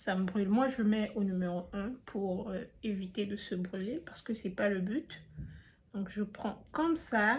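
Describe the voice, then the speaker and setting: Somewhat breathy delivery at a fairly slow pace with ordinary pitch variation. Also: woman, medium pitch for a woman. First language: not French (speaking French). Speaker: beauty youtuber. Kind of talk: tutorial. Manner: casual, chatty.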